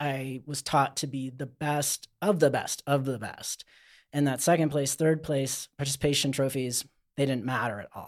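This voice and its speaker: A man talks in an ordinary speaking voice at a moderate pace, with a fairly high pitch and fairly even intonation. The recording is very clean with a silent background, dry and close with no echo. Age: 40s. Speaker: outdoor skincare company owner. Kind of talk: casual chat.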